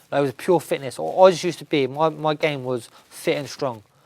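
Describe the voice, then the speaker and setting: On a very clean recording with a silent background, a man in a southern English accent sounds animated, his pitch fairly high. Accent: southern English, London-area. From Luton, England. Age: 20s. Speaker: amateur boxer. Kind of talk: interview storytelling.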